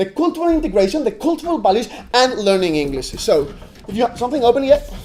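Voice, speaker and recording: A man speaks at an extremely high pitch with very wide pitch swings. His tone is animated. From Spain, Catalonia. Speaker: university debater. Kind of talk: competitive debate speech.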